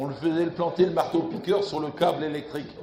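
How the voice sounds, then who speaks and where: The clip carries noticeable background noise and audible room echo. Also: man. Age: 80s+. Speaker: retired labour inspector. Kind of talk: public talk. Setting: festival stand with audience. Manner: halting.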